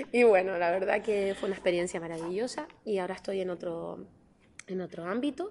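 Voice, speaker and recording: With a normal speaking voice, a woman talks at a fairly quick pace in a medium pitch with ordinary pitch variation. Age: 30s. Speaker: politician. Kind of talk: interview.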